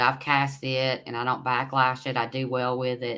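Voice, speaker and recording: This woman has an East Tennessee accent and a very deep, low pitch. Her tone is bright and sharp. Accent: Southern US (East Tennessee). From US South, Knoxville, Tennessee. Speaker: fishing livestream host. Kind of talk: casual livestream chat reading viewer comments. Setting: live stream. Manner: rambling, hesitant with fillers.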